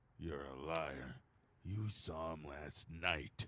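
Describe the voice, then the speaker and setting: Putting on a character voice, a man speaks very slowly in a raspy, very deep, low pitch with ordinary pitch variation. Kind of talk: hard-boiled voice-over. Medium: audio drama. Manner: dry, wisecracking.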